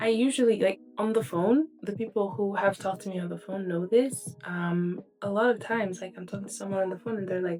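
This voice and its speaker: With music in the background, a woman of medium pitch speaks with hardly any pauses. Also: ordinary pitch variation, fairly quick pace. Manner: speaks softly, cannot easily speak louder.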